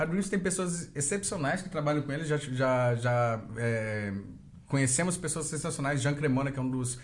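Somewhat breathy, a man speaks with lively intonation. There is audible room echo. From Brazil. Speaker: podcast host. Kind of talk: casual chat.

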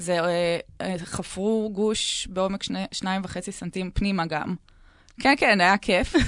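A woman speaks at a fairly slow pace in a normal speaking voice. Her medium-pitched intonation stays fairly even. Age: 30s. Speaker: dance instructor, cancer survivor. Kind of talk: casual chat. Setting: radio studio.

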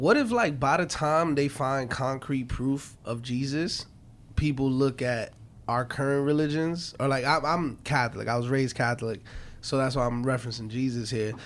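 A man speaks with a New York accent at medium pitch. His pace is moderate. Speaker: podcast host. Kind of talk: casual chat.

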